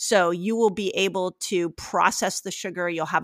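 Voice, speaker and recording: Here is a woman with an ordinary speaking voice, medium in pitch, with fairly even intonation at a moderate pace. The sound is dry and close with no echo, in a very clean recording over a silent background. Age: 50s. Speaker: fasting and health expert. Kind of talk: interview.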